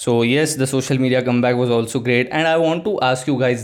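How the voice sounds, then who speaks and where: At a fairly quick pace, a man of medium pitch talks in a plain, everyday voice. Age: young. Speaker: solo podcaster and agency founder. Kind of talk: casual solo monologue.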